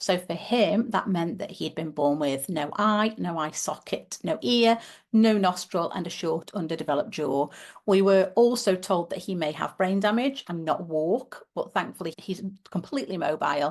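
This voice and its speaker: Over a quiet background, the speech has lively intonation and a moderate pace. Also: woman, medium pitch for a woman. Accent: British. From UK. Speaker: teacher and parent advocate. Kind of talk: podcast interview.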